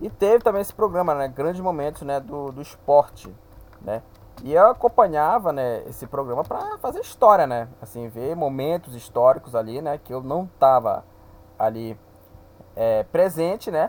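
At a moderate pace, a man with a fairly high pitch makes very wide pitch swings and big swings in loudness. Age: 20s. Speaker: football podcaster. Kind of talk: solo podcast monologue. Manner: hesitant, many fillers.

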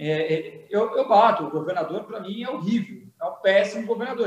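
A man speaks at a moderate pace. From Brazil, São Paulo coast (Santos). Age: 30s. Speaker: state politician, former military officer. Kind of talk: political interview.

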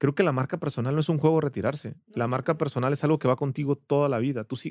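In a dry, close sound with no echo, a man speaks at a fairly quick pace with a fairly high pitch and an animated tone. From Ensenada, Baja California, Mexico. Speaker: entrepreneur and business coach. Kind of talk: casual interview.

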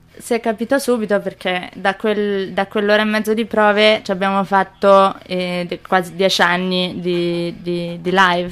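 The woman talks at a fairly slow pace with monotone, flat intonation. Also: medium pitch for a woman, hardly any pauses. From Pistoia, Tuscany. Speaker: singer. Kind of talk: casual chat. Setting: studio.

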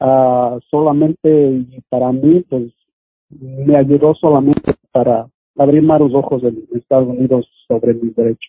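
Using a normal speaking voice, a man talks fairly slowly at medium pitch with fairly even intonation. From Oaxaca, Mexico. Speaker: community activist. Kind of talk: interview.

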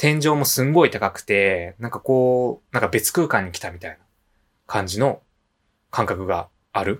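Speaking with a Kansai accent at a moderate pace, a man uses medium pitch, lively intonation and big swings in loudness on a very clean recording with a silent background. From Japan, Nishinomiya, Hyogo (Kansai). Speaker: podcast co-host. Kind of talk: casual chat.

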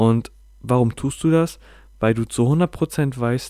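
A man's medium-pitched voice with a dark, mellow tone and ordinary pitch variation, on a very clean recording with a silent background. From northern Germany, Bremen. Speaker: podcaster. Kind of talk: personal monologue. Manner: halting, many filler sounds.

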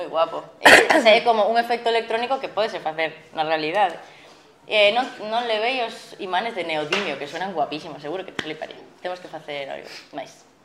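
Against noticeable background noise, a woman with a medium pitch talks at a fairly quick pace, her intonation lively and her loudness swinging widely. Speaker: musician. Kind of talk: casual chat.

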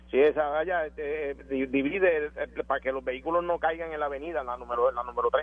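A man's fairly high voice at a fairly quick pace, fairly even in intonation, with hardly any pauses and noticeable background noise. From Puerto Rico. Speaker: caller. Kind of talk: call-in radio conversation.

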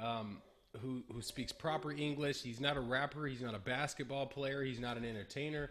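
In an American accent, a man speaks at a moderate pace and medium pitch with fairly even intonation, in an ordinary speaking voice. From California, Bay Area. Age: 20s. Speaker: entrepreneur. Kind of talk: casual interview.

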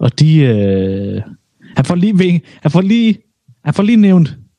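A man's somewhat breathy voice, dark and mellow in tone, rises and falls in very wide pitch swings. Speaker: podcast co-host. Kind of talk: casual banter, podcast chat.

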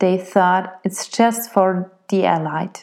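In a German accent, a woman speaks very slowly at a medium pitch. Her tone is dark and mellow, her intonation fairly even. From Austria. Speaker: opera singer and podcast host. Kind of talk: solo podcast monologue.

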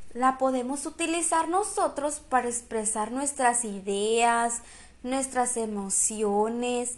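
In a room with audible echo, a woman with a high pitch speaks very slowly, using ordinary pitch variation. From Sonora, northern Mexico. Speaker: podcaster. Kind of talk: lecture.

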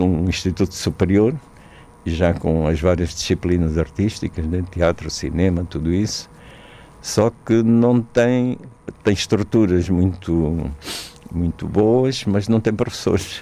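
The pace is fairly slow and the loudness very even. Pitch varies in an ordinary way. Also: man, very deep, low pitch for a man. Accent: Angolan. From Angola, small inland town. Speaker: theatre director and playwright. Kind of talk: interview. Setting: radio studio. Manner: hesitant, frequent repetitions.

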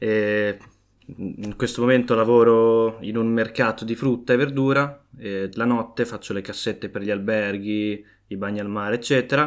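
An ordinary speaking voice from a man at medium pitch, moderate pace and fairly even intonation, on a very clean recording with a silent background. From Emilia-Romagna, Savignano sul Rubicone. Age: 20s. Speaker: student. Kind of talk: casual chat.

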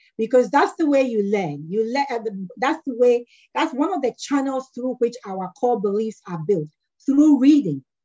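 The tone is dark and mellow, delivered at a moderate pace. The pitch swings very widely. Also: woman, high pitch for a woman. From Ghana. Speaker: management consultant. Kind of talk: casual interview conversation. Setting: video call.

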